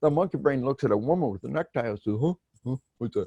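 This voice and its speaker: Against a quiet background, a man with an American accent speaks at a medium pitch in a dark, mellow tone with lively intonation, the sound dry and close with no echo. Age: 60s. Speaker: author and retired army officer. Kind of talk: podcast interview. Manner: animated.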